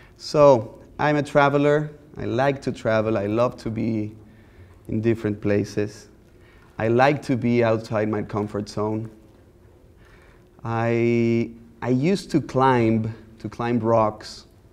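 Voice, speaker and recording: The speaker has a Mexican accent and talks at a very slow pace with fairly even intonation. Long, frequent pauses break up the speech. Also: man, medium pitch for a man. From Mexico. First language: Spanish. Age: 30s. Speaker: visual artist. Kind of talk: lecture. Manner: easygoing, conversational.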